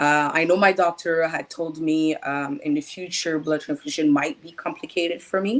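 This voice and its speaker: A woman with a Quebec accent speaks at a moderate pace and fairly low pitch, with fairly even intonation. Her loudness swings widely, and she hardly pauses. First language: French. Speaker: patient advocate. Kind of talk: interview testimony. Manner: halting.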